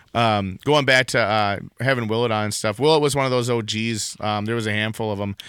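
This man has a strong Wisconsin accent and a medium pitch. He talks at a fairly quick pace with fairly even intonation. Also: hardly any pauses. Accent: thick Wisconsin. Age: young. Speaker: podcast co-host. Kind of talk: casual chat. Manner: halting, many fillers.

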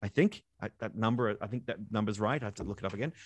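A man speaks with an Australian accent. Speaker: science communicator and podcast co-host. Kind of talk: casual interview chat. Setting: remote call. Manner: animated.

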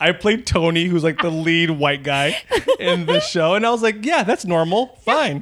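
This man speaks with an American accent at a moderate pace, his pitch high with ordinary variation. His loudness stays very even throughout. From Texas, El Paso. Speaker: actor and improviser. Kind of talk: casual interview chat.

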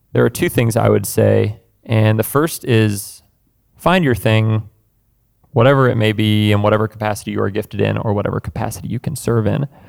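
At a fairly quick pace, a man speaks in a plain, everyday voice, fairly low in pitch with ordinary pitch variation. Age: 20s. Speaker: musician and seminary student. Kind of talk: casual chat.

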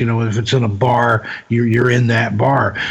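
A man talks at a moderate pace with a medium pitch. His intonation is monotone and flat, and there is noticeable background noise. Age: 50s. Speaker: author and paranormal investigator. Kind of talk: casual chat.

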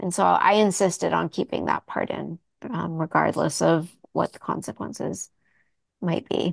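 Recorded dry and close with no echo against a quiet background, a woman speaks at a moderate pace. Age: 40s. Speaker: author-illustrator. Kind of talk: interview. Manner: halting.

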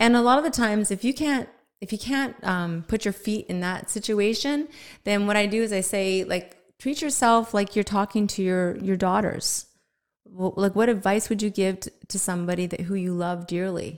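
A woman with an ordinary speaking voice talks at a moderate pace and medium pitch, with ordinary pitch variation, on a very clean recording with a silent background. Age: 50s. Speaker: health and wellness coach. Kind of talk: casual interview. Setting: studio.

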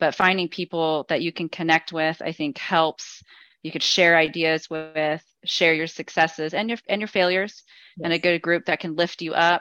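A woman's fairly low, bright and sharp voice, monotone and flat, at a moderate pace, in a very clean recording with a silent background and a dry, close sound with no echo. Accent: American. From Las Vegas, Nevada. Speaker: patient, entrepreneur, mother. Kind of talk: testimony.

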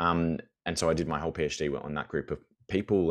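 Vocal fry marks this man's very deep, low voice, which has fairly even intonation. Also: quiet background. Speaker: university lecturer and teacher. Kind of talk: casual interview conversation.

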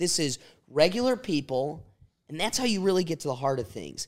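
On a very clean recording with a silent background, a man with an unremarkable speaking voice talks at a moderate pace, his fairly high pitch carrying lively intonation. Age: 20s. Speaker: podcast host. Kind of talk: casual chat.

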